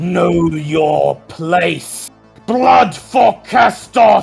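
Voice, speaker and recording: A man with fairly high pitch does a put-on character voice over faint background music. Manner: commanding, menacing.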